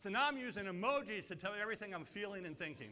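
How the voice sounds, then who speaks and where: A man speaks very fast in a raised, projected voice at a high pitch. His tone is animated, bright and sharp, with lively intonation. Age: 60s. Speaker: marketing speaker. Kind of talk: conference presentation.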